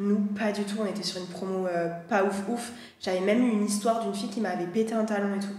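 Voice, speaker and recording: At a very fast pace, a woman speaks at a medium pitch with monotone, flat intonation, with audible room echo and noticeable background noise. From southwest France, Landes. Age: 20s. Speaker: former beauty pageant contestant. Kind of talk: casual chat. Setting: livestream.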